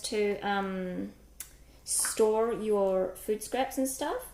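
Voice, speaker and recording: A woman with a New Zealand accent and lively intonation, over noticeable background noise. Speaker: cooking livestreamer. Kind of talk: live-stream cooking chat. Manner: casual, chatty with filler words.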